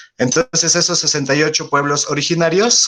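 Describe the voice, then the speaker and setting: A man with a Mexico City accent, over noticeable background noise. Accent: own Mexico City. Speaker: biologist. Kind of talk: lecture. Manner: hesitant, many fillers.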